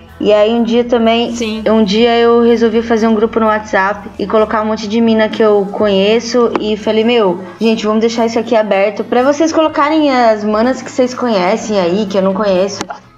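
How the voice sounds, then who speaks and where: A woman speaks at a moderate pace with hardly any pauses, her fairly high pitch kept in fairly even intonation. Noticeable background noise is audible behind her. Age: 30s. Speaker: rock band musician. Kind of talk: casual chat.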